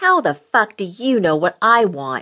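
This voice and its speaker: In a put-on character voice, a female-sounding speaker growls at a medium pitch and a fairly slow pace. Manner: snarling, hostile.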